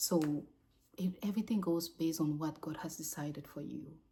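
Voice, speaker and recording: A woman speaks in a dark, mellow, somewhat breathy tone. Her pitch varies in an ordinary way. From Cameroon and Gabon. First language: French. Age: 30s. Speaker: vlogger. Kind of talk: casual unscripted monologue. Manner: halting, self-correcting.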